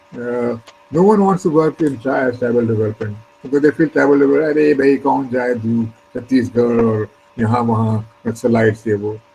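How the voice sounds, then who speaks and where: A man with a Pakistani accent speaks at a moderate pace and medium pitch, with ordinary pitch variation, over music in the background. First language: Urdu. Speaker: retired civil servant. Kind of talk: interview. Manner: hesitant, many fillers.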